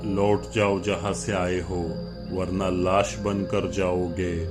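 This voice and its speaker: A man's put-on character voice, very deep and low, hoarse and gravelly, at a very slow pace over loud music in the background. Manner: terrifying, threatening.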